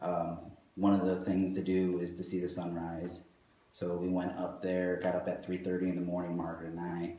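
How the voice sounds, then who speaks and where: A soft-spoken man with a very deep, low pitch and a dark, mellow tone speaks in a monotone, flat way at a moderate pace, with audible room echo. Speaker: architect at a design firm. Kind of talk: interview. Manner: hesitant with fillers.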